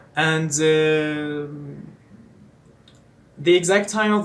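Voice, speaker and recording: A man with a Persian accent speaks at a fairly high pitch with ordinary pitch variation, amid audible room echo. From eastern Iran. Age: 20s. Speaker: English teacher and student. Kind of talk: casual self-introduction vlog. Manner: halting, many fillers.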